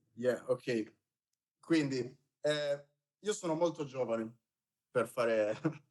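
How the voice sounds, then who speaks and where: With long, frequent pauses, a man talks at a very slow pace at a medium pitch with ordinary pitch variation. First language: Italian. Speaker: film producer. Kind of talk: panel discussion. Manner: halting.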